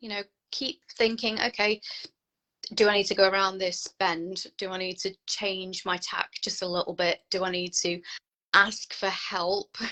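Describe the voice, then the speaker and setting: In an ordinary speaking voice, a woman of medium pitch talks at a fairly slow pace with fairly even intonation. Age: 30s. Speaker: counsellor. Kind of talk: casual chat.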